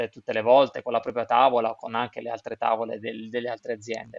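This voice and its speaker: The man's voice sounds dry and close, with no echo at all. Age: 40s. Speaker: snowboard instructor and brand representative. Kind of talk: casual interview.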